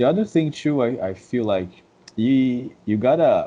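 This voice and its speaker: A man with a Brazilian Portuguese accent speaks in a dark, mellow tone with lively intonation. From Brazil, Rio de Janeiro suburbs. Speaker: dance instructor. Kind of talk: podcast interview. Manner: halting, many repeated words.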